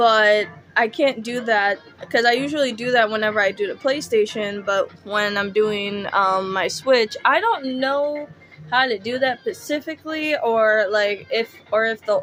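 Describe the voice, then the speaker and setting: Music plays in the background as the speaker talks at a fairly slow pace with ordinary pitch variation. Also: woman, fairly high pitch for a woman. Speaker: gaming let's play streamer. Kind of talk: let's play commentary and reading aloud. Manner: halting. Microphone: echoey audio.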